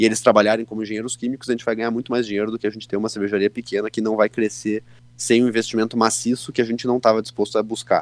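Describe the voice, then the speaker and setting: A man in a southern Brazilian accent at a very fast pace, flat and monotone, with a dry, close sound and no echo. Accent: southern Brazilian (gaúcho) Portuguese. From Rio Grande do Sul, Santa Maria. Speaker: state deputy and lawyer. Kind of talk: interview. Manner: casual, hesitant fillers.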